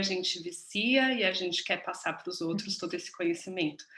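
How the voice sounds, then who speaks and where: Noticeable background noise sits behind a woman's voice. She speaks at a medium pitch and a moderate pace. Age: 30s. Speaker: business mentor, course co-host. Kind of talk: online masterclass presentation.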